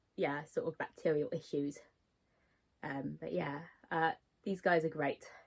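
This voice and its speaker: Very deep and low-pitched, a woman talks at a fairly slow pace with ordinary pitch variation. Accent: British. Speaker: insect keeper vlogger. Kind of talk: tutorial. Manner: hesitant, many fillers.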